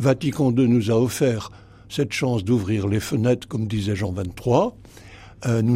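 A man's somewhat breathy, medium-pitched voice with a dark, mellow tone and ordinary pitch variation, on a very clean recording with a silent background. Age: 80s+. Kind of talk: radio interview. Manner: halting, many repetitions and hesitations.

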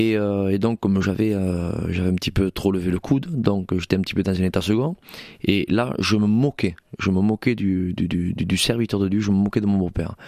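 Fairly low in pitch, a man's voice carries a dark, mellow tone and very even loudness. He speaks at a moderate pace with fairly even intonation, and the sound is dry and close with no echo. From Spanish Gitano community, southwest France. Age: 40s. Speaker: pastor. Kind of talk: testimony. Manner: halting, repeats words.

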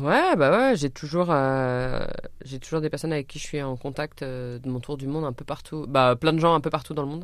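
Very deep, low female voice with fairly even intonation, at a moderate pace. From France, Orléans. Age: 30s. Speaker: traveller and adventurer. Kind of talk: radio interview. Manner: hesitant, many fillers.

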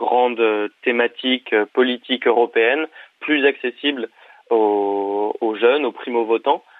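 His intonation is fairly even. The man's pitch sits in the medium range. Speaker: journalism student, founder of student media. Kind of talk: interview. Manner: halting, many hesitations.

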